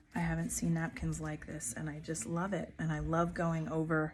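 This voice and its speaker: Soft-spoken, a woman talks at a fairly slow pace. Her pitch is fairly low and her intonation fairly even. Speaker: craft YouTuber. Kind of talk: tutorial.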